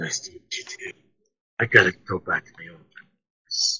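This raspy, put-on character voice moves at a moderate pace. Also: man. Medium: machinima. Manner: formal, wary, melancholy; earnest, matter-of-fact explaining.

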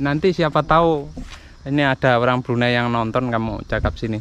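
At a moderate pace, a man speaks with a medium pitch, fairly even intonation and a fairly bright tone.

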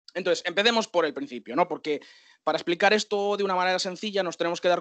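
A man speaks with a high pitch. The sound is dry with no echo, and the background is quiet. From Galicia, Spain (Santiago de Compostela); Galicia. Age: 50s. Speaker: systems administrator and bitcoin educator; bitcoin educator. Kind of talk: lecture. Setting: video call. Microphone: video call.

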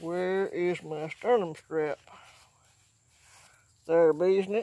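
Speaking at a very slow pace, a man keeps a fairly high pitch, a dark, mellow tone and fairly even intonation.

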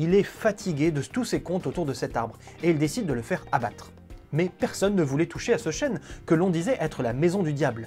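Against faint music in the background, a man speaks at a high pitch. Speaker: storyteller host. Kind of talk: storytelling narration to camera. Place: home room. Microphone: lapel.

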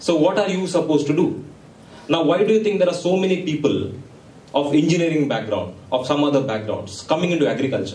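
With an Indian accent, a man talks in an animated tone at a fairly quick pace, his pitch swinging very widely, amid audible room echo. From India, Mangalore. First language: Konkani. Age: young. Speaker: entrepreneur and guest speaker. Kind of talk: motivational talk to students. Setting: stage with audience. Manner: animated, interactive with audience. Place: hall.

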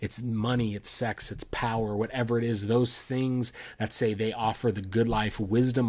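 An unforced reading voice with fairly level intonation

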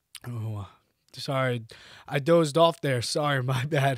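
A man speaks in an animated tone. The sound is dry with no echo, over a quiet background. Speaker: podcast host. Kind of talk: casual comedic monologue. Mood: mock-bored, sarcastic. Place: home room. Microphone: studio mic.

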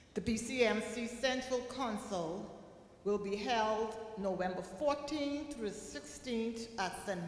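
A woman speaking at a very slow pace, with audible room echo. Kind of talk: church announcements. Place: church. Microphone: podium.

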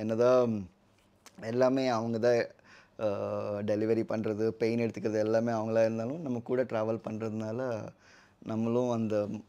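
A man's dark, mellow tone stays monotone, with flat intonation. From West Godavari, Andhra Pradesh, India; Andhra Pradesh. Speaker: IT professional, husband; interviewee. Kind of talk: casual interview. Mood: reflective, emotional about pregnancy. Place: home room.

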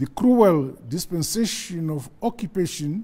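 A man's dark, mellow voice at a fairly slow pace, with very wide pitch swings. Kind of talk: formal national address. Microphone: lapel.

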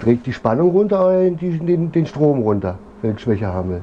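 A man speaks with very wide pitch swings over noticeable background noise. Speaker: DIY motorbike builder and video creator. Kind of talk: workshop vlog tutorial. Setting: home workshop. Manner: casual.

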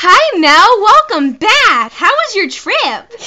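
A put-on character voice at an extremely high pitch, cheerful in tone, with very wide pitch swings at a fairly slow pace. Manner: bright, gushing, cheerful greeting.

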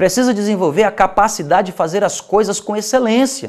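A man with a Brazilian accent at a moderate pace, ordinary pitch variation and a quiet background. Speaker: pastor. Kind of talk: sermon. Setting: TV or radio program. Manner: earnest, exhortative; direct appeals to the listener. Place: studio. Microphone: lapel.

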